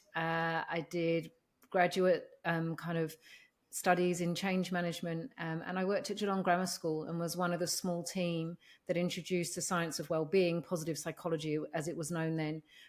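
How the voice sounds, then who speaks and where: A woman with an English accent speaks at a moderate pace in a fairly low, monotone voice with flat intonation, on a very clean recording with a silent background. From London, England. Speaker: organisational psychologist. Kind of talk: interview.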